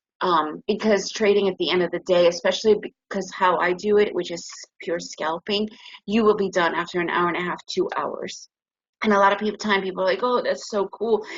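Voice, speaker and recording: An unremarkable speaking voice: a woman with an American accent, medium pitch, fairly even intonation and a fairly quick pace. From United States. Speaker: trading educator. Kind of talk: webinar presentation.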